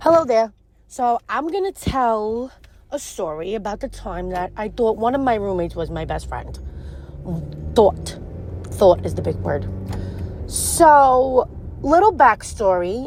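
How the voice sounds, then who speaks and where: Over noticeable background noise, a woman with a strong New York accent talks at a fairly slow pace. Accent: thick New York. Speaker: listener sharing a story. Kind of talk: personal story in audio message. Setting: recorded audio message.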